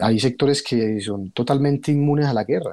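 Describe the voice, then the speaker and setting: A man's voice with a dark, mellow tone. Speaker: former guerrilla, director of a sewing cooperative. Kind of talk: radio interview. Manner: halting, repeats words.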